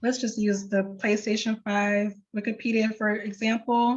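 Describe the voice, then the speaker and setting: A fairly high, somewhat breathy woman's voice at a fairly slow pace. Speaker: librarian. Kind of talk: tutorial.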